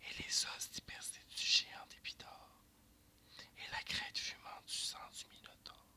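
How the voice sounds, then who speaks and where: Whispered words come fairly slowly, broken by long, frequent pauses. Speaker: ASMR reader. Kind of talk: verse drama reading.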